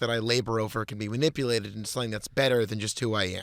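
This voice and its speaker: This man talks at a very fast pace. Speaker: podcast co-host. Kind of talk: casual chat. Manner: halting, pauses between words; hurried today.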